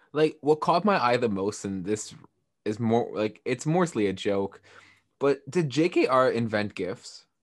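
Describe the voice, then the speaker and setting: Against a quiet background, a man with a medium pitch speaks at a fairly slow pace with lively intonation. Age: 20s. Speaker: podcast co-host. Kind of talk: casual chat. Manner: animated.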